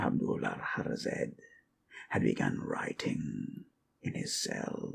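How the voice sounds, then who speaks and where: Whispering, a man puts on a character voice. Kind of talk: ASMR sleep storytelling. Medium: solo performance. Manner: slow, measured, musing.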